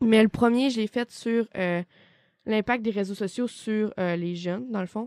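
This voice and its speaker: A woman with a Quebec accent speaks at a fairly slow pace with fairly even intonation. Her pitch is fairly high, and the sound is dry and close with no echo. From Quebec, Côte-Nord (Baie-Comeau). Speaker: student. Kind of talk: casual chat.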